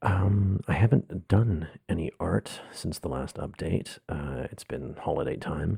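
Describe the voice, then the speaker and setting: Speaking quietly and at a very slow pace, a man uses a dark, mellow tone with vocal fry and ordinary pitch variation. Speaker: artist and theatre podcaster. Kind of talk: casual monologue podcast. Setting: home room, others asleep. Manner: speaking very quietly; low growl. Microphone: close to mic in echoey room.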